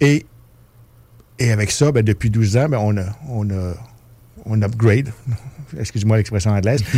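The tone is dark and mellow, with ordinary pitch variation. The pace is moderate, broken by long, frequent pauses. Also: man. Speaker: festival artistic director. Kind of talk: interview. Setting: studio.

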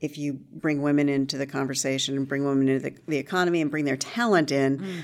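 Very fast and with hardly any pauses, a woman speaks in a very deep, low voice with fairly even intonation. The recording is very clean, with a silent background. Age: 50s. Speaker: journalist and entrepreneur. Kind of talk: interview. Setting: office.

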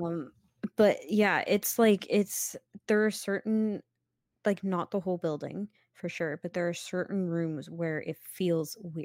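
A woman with a Canadian accent speaks at a medium pitch and a fairly slow pace. Hers is an unremarkable speaking voice, with fairly even intonation. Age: 20s. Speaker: podcast co-host. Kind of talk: casual chat.

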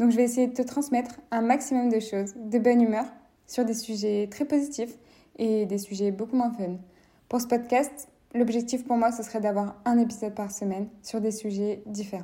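Speech proceeds at a moderate pace with fairly even intonation. The tone is dark and mellow. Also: woman, fairly high pitch for a woman. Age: 20s. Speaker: podcast host. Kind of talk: casual monologue.

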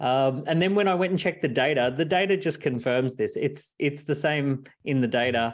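This man has an Australian accent and a fairly high pitch. He speaks at a moderate pace with ordinary pitch variation against a quiet background. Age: 40s. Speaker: entrepreneur and author. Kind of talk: casual interview.

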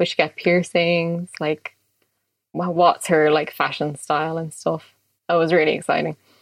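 A woman with a Dublin accent, fairly low in pitch and fairly slow, in a monotone, flat intonation, with a dry, close sound and no echo. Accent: Dublin Irish. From Ireland (Dublin). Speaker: illustrator. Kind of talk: casual interview.

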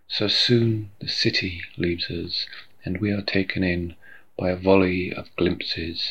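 Speaking at a fairly slow pace, the man has a very deep, low pitch. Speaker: poet. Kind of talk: poetry reading. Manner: measured, unhurried, reflective reading.

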